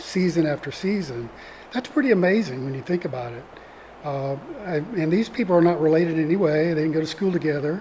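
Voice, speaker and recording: A soft-spoken man with a Mississippi accent, fairly high in pitch and very fast, amid noticeable background noise. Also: ordinary pitch variation. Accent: Southern US (Mississippi). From US South, northeast Mississippi. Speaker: retired attorney, community theatre actor. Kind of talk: interview conversation.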